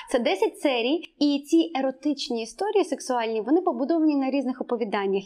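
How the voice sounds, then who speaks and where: Fairly quick delivery with lively intonation, noticeable background noise behind it. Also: woman. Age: 30s. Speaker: podcast host, ethnology. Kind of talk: casual chat.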